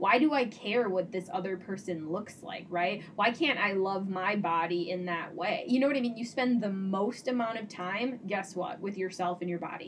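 A woman at a medium pitch, moderate pace and ordinary pitch variation, hardly any pauses, with noticeable background noise. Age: 30s. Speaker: psychotherapist and podcast co-host. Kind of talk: casual chat.

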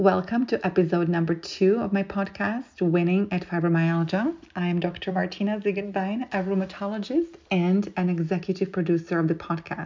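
Fairly low female voice with a dark, mellow tone, fairly even intonation, a moderate pace, and few pauses

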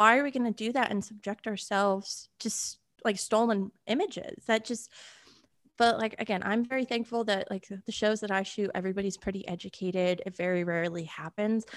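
A woman with an American accent and an unremarkable speaking voice talks at a fairly quick pace, with fairly high pitch and ordinary pitch variation. The background is quiet. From Connecticut, US Northeast. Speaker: horse show photographer and Army veteran. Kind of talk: casual interview.

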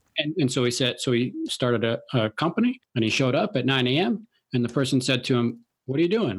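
With an American accent and a plain, everyday voice, a man talks fairly quickly at a medium pitch. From Chicago, US Midwest. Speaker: podcast host interviewing millionaires. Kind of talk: casual interview chat.

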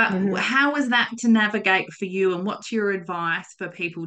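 A woman talks at a moderate pace with an Australian accent. Her tone is bright and sharp, and her intonation is lively. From South Australia, Coonawarra. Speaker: podcast host. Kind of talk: casual interview.

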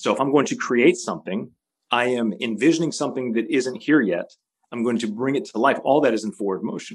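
A man speaks in a plain, everyday voice at medium pitch. His pace is fairly quick and his intonation lively. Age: 40s. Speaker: futurist consultant. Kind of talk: interview.

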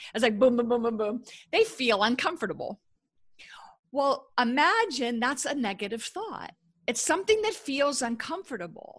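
A woman's high-pitched voice at a moderate pace with lively intonation. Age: 50s. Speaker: author and former corporate executive. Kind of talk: podcast interview. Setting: live recording on social media.

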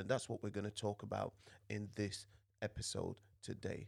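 Recorded very cleanly against a silent background, a man with a fairly low pitch and vocal fry speaks at a moderate pace. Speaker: podcast host. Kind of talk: podcast discussion. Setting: studio.

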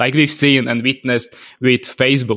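A man with a Slovak accent, medium in pitch, at a fairly slow pace. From Slovakia. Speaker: email marketing consultant. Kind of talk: interview. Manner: halting.

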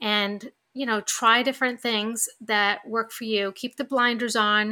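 In a New York accent, a woman speaks with a fairly high pitch and a tone both warm and bright, sharp, her intonation fairly even on a very clean recording with a silent background. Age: 50s. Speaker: podcast host. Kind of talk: solo podcast monologue. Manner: conversational, warm.

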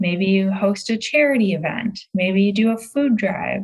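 A woman's medium-pitched voice with ordinary pitch variation, an unremarkable speaking voice. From Michigan, outside Detroit. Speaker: real estate coach. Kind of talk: interview conversation.

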